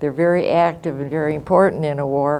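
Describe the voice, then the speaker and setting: A woman with an American accent in a flat monotone, with audible room echo. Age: 90s. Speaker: war-era eyewitness. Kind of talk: testimony. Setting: classroom. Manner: halting.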